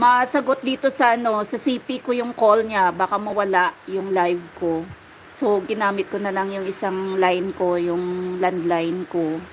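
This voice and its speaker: Against noticeable background noise, a speaker with a Western Visayas accent talks at a fairly slow pace. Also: woman, medium pitch for a woman, ordinary pitch variation. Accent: Ilonggo accent when speaking Tagalog. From Iloilo, Philippines. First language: Hiligaynon (speaking Tagalog). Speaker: livestreamer. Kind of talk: casual chat. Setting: live stream.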